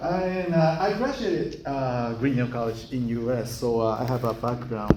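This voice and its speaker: Over noticeable background noise, a man talks at a moderate pace with lively intonation and hardly any pauses. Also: medium pitch for a man. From Japan. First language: Japanese. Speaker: school chief executive, guest lecturer. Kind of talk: lecture. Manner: halting.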